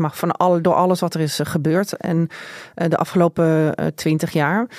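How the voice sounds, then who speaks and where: This is a woman with an ordinary speaking voice, fairly low in pitch and fairly even in intonation. The sound is dry and close with no echo. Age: 40s. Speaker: journalist and columnist. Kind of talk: interview conversation.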